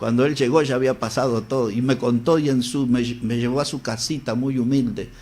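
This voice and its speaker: Speaking at a fairly quick pace, a man has a medium-pitched, plain, everyday voice. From Uruguay, Salto. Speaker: preacher and radio broadcaster. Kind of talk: interview storytelling.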